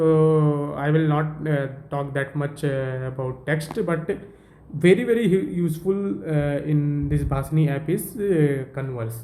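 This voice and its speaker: A man with an Indian accent has a dark, mellow tone, heard with audible room echo. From northern India, Uttar Pradesh. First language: Hindi. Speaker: tech tutorial presenter. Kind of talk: tutorial. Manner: halting, many fillers.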